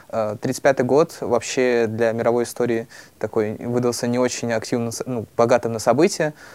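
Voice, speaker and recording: With fairly even intonation and a moderate pace, a man talks in an ordinary speaking voice at medium pitch. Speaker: student podcaster. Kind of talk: casual discussion of old newspapers.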